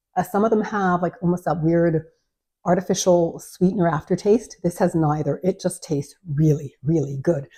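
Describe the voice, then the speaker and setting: Against a quiet background, a woman with a fairly low pitch and a dark, mellow, somewhat breathy tone talks at a moderate pace with ordinary pitch variation. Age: 60s. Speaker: lifestyle vlogger. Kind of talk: product review vlog. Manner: casual, hesitant with many fillers.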